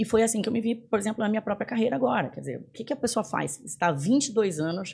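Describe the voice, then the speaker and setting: A woman talks at a very fast pace with a fairly high pitch and very wide pitch swings. Vocal fry runs through her speech. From northern Brazil, Belém do Pará. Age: 40s. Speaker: business executive. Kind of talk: podcast interview.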